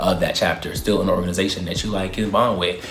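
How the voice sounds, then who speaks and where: Speaking with a Baltimore accent, a man is heard through noticeable background noise and audible room echo. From Baltimore, US. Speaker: YouTuber. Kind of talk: Q&A vlog, casual monologue. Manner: fast; animated.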